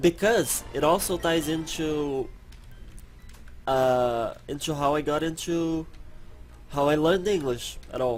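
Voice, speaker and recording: A man with a non-native accent speaks in a fairly high voice. His pace is fairly slow, with long, frequent pauses. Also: ordinary pitch variation. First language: not English. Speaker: gaming youtuber. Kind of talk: let's play commentary. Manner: halting.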